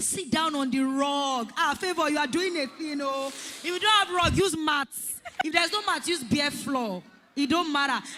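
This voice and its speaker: Over noticeable background noise, a woman talks in a raised, projected voice with high pitch. Her tone is animated. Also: ordinary pitch variation, moderate pace. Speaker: event host. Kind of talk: panel interview.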